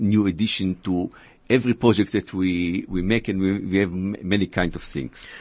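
With an Israeli accent, a man speaks at a moderate pace. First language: Hebrew. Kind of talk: radio interview. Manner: halting.

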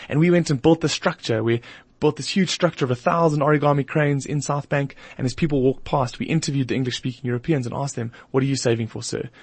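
At a very fast pace, a man speaks with medium pitch, ordinary pitch variation and a somewhat breathy quality. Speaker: marketing company founder. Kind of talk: radio interview.

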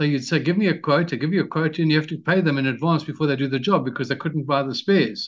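Against a quiet background, a man with a fairly high pitch talks at a very fast pace with hardly any pauses. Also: ordinary pitch variation. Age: 60s. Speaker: retired entrepreneur and author. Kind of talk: interview.

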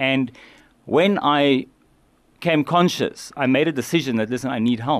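A man talks at a moderate pace with medium pitch and ordinary pitch variation. It's an unremarkable speaking voice against a quiet background. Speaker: addiction recovery charity worker. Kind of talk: radio interview. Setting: radio studio.

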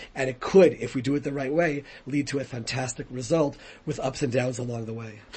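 A somewhat breathy man with an American accent, medium pitch, fairly even intonation and a fairly quick pace. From United States. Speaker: rabbi and former politician. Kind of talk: radio interview. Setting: radio studio.

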